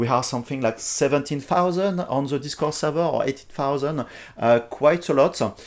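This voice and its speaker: Speaking at a moderate pace with a strong French accent, a man with a fairly high pitch comes through on a very clean recording with a silent background. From France. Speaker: software company CEO. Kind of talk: live stream tutorial. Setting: live stream, not in the office. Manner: hesitant, many fillers.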